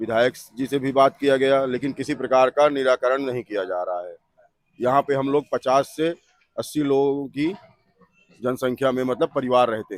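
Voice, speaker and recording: Heard dry and close with no echo, a man with an unremarkable speaking voice talks at a moderate pace with ordinary pitch variation. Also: medium pitch for a man. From Chitrakoot, Bundelkhand, India. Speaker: local resident. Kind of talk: street interview.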